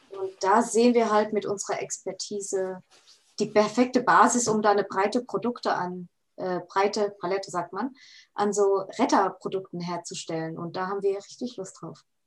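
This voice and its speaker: A woman with a plain, everyday voice speaks at a moderate pace and medium pitch. Her intonation is fairly even, but her loudness swings a lot. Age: 20s. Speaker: food technologist and startup founder. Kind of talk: casual interview.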